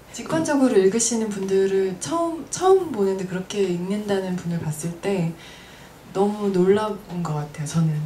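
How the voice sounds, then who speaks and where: A woman speaks at a moderate pace with audible room echo. Light background noise is present. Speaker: event organizer and moderator; moderator. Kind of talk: moderated panel discussion. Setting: live event with audience. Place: shop. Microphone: handheld.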